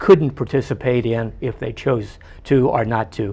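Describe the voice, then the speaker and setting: Vocal fry marks this man's speech. His pitch sits in the middle range. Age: 70s. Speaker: resident and citizen academy graduate. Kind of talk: interview. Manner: halting.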